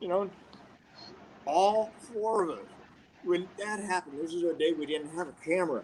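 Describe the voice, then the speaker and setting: A man speaks high-pitched and fairly fast, with noticeable noise in the background. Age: 70s. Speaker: karate master. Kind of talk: storytelling in live video conference. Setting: live video call.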